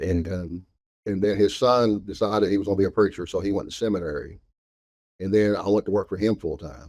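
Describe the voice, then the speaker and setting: A man with a Southern US accent talks at a fairly quick pace and a fairly low pitch. His intonation is fairly even, on a very clean recording with a silent background. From Arkansas. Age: 60s. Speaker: store owner. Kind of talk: interview.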